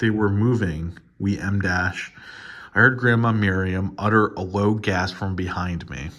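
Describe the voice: Just plain reading aloud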